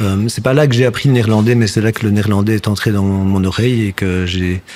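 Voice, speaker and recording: Over noticeable background noise, a man with a slight Flemish accent speaks at a fairly slow pace, with fairly low pitch and fairly even intonation. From Belgium, village near Brussels. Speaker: actor and puppeteer. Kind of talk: casual chat.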